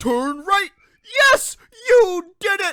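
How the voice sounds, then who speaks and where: A playful, put-on character voice at an extremely high pitch with very wide pitch swings. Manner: goofy, playful, encouraging.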